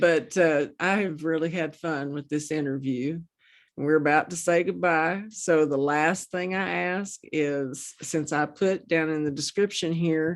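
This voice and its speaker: The speaker has an American accent and a fairly slow pace with fairly even intonation. The background is quiet. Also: woman, very deep, low pitch for a woman. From Oklahoma. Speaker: interview show host. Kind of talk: casual interview chat.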